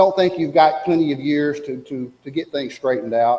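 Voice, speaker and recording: The speech shows ordinary pitch variation, and room echo is audible. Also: man. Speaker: preacher. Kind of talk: sermon. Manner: fast.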